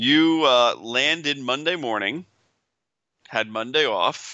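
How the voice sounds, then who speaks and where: At a fairly slow pace, a man speaks in a plain, everyday voice with ordinary pitch variation. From northern New Jersey, moved to upstate New York at six. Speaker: podcast co-host. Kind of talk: casual banter, podcast chat.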